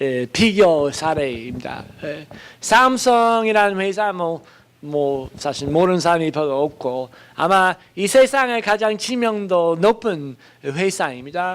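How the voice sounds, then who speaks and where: Speaking very slowly with a non-native accent, a man uses lively intonation at a high pitch for a man. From foreign country (non-Korean). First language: not Korean (speaking Korean). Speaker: professor. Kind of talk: lecture. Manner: halting, many fillers.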